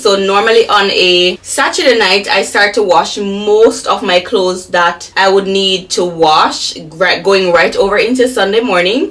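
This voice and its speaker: The background has noticeable noise. Over it, a woman speaks at a fairly slow pace. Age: 30s. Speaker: lifestyle vlogger. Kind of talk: casual vlog talk to camera. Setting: at home. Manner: chatty, conversational.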